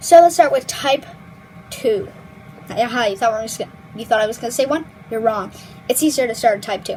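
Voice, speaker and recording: A woman's high-pitched voice with lively intonation over noticeable background noise. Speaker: language tutorial youtuber. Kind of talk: tutorial. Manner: casual, filler-heavy.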